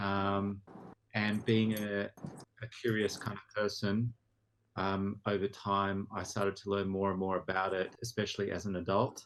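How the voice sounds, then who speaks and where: In an Australian accent, a man talks with monotone, flat intonation. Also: fairly low pitch for a man, moderate pace. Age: 30s. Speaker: podcast guest. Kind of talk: casual chat.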